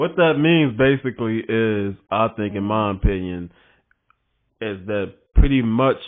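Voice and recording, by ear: Speaking at a fairly low pitch, a man keeps a fairly slow pace with ordinary pitch variation.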